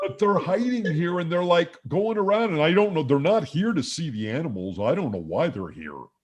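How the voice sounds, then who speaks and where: A man uses a put-on character voice with a high pitch. He goes at a fairly quick pace with hardly any pauses. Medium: stage play. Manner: puzzled, hesitant.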